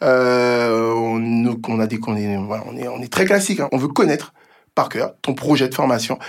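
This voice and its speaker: There is a man here using a plain, everyday voice. He keeps his intonation fairly even. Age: 30s. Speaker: entrepreneur. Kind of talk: interview.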